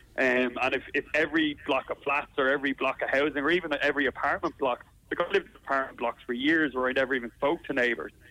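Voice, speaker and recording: Talking very fast with hardly any pauses, a man in a Dublin accent keeps a fairly high pitch, fairly even intonation and very even loudness. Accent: Irish (Dublin). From Ireland. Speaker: comedian. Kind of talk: interview. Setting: phone call.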